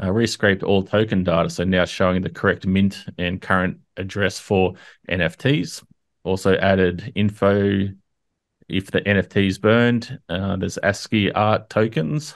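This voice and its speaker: With an ordinary speaking voice, a man talks at a fairly slow pace in a fairly low pitch, his intonation fairly even against a quiet background. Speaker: community update host. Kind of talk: commentary. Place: home room. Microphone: studio mic.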